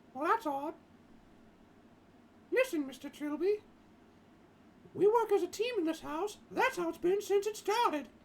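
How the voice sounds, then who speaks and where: A squeaky, put-on character voice at extremely high pitch, moving at a moderate pace with long, frequent pauses. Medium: game stream. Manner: firm, practical.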